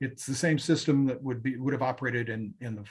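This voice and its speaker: The voice moves at a very fast pace and sounds somewhat breathy, with fairly even intonation. Behind it, the background is quiet. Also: man. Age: 60s. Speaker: TV news reporter. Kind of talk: interview. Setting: live online show.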